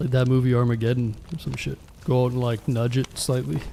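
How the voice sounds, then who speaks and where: Over noticeable background noise, a man with a Canadian accent talks at a fairly quick pace in a medium pitch with fairly even intonation. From Canada. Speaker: live streamer. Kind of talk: casual live-stream chat while gaming. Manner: casual, conversational.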